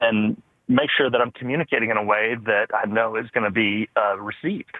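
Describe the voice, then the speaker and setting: This man talks at a fairly quick pace with an American accent, medium pitch, fairly even intonation and very even loudness. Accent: Southern accent, toned down when formal. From US South. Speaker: caller. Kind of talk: casual chat.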